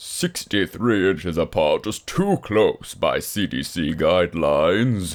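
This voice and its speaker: A man's put-on character voice, fairly low in pitch, at a fairly slow pace. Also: hardly any pauses, very clean recording, silent background. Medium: read story. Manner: deadpan, grumpy.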